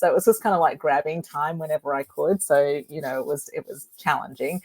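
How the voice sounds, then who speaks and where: A woman with a strong Australian accent, her sound dry and close with no echo. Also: ordinary pitch variation. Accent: broad Australian. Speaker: author. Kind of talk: interview.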